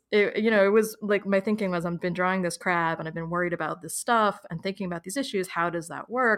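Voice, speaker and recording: Speaking very fast with an American accent, a woman keeps a medium pitch and a fairly even intonation. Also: hardly any pauses. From New York, US. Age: 30s. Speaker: author and illustrator. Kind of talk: casual interview.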